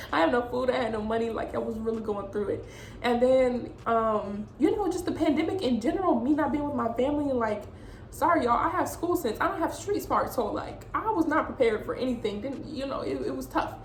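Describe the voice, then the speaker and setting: Her high voice swings very widely in pitch as the woman talks at a fairly quick pace, with audible room echo. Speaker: vlogger. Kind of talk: personal story vlog. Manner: fast.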